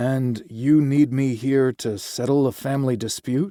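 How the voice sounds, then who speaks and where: Using a put-on character voice, a man speaks gravelly at medium pitch, with fairly even intonation and a moderate pace. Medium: read story.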